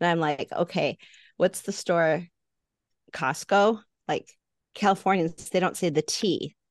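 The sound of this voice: Fairly slowly and with fairly even intonation, a woman with an American accent speaks in a fairly low pitch, taking long, frequent pauses against a quiet background.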